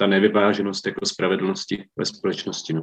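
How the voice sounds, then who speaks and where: Intonation stays monotone and flat. A man talks at a fairly quick pace. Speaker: social worker. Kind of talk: group discussion.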